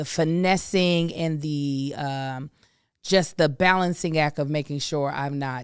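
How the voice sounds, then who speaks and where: On a very clean recording with a silent background, a woman talks at a fairly slow pace in a very deep, low pitch with ordinary pitch variation. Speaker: podcast co-host. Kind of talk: casual chat. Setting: studio. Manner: loud.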